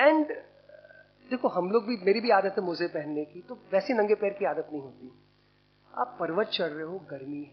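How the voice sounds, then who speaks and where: Speaking at a moderate pace, a man's high-pitched voice moves in very wide pitch swings. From India, Bundelkhand. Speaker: publisher, speaker at commemorative event. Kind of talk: seminar talk. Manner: conversational, code-switching Hindi and English.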